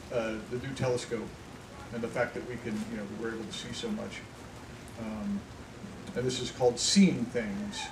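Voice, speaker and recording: Speaking rather briskly with an American accent, a man is heard over clear background noise. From Indiana, US. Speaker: poet. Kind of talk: casual talk to audience. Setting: outdoors.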